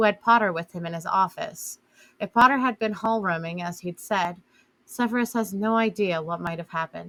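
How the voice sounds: A natural reading voice, pitch rising and falling in an ordinary way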